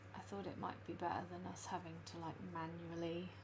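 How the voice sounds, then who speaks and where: Soft-spoken, a woman uses lively intonation in a space with audible room echo. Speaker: illustrator and planner live streamer. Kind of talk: casual live stream chat. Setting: live stream at home. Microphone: too quiet, gain all the way up.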